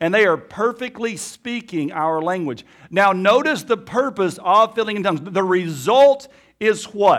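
A man with an Alabama accent speaks in a high pitch at a fairly slow pace with lively intonation, recorded very cleanly against a silent background. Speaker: pastor. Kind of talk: sermon. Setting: church.

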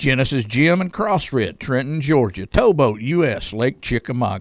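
A man with a Southern US accent at a medium pitch, making very wide pitch swings at a moderate pace. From Chattanooga, Tennessee. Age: 50s. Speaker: radio host. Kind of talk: casual interview chat.

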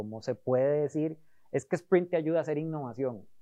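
Speaking in a Costa Rican accent, a man has a dark, mellow tone. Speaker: design sprint facilitator. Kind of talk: interview.

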